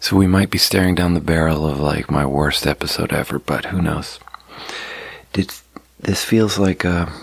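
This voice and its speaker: There is noticeable background noise as a man with a very deep, low pitch speaks with fairly even intonation. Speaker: podcaster. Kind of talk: casual monologue. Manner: soft-spoken.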